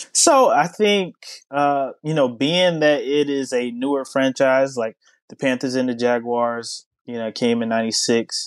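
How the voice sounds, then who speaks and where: In a plain, everyday voice, a man with an American accent speaks at a fairly slow pace and medium pitch, with ordinary pitch variation over a quiet background. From US South. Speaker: sports journalist. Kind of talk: casual interview.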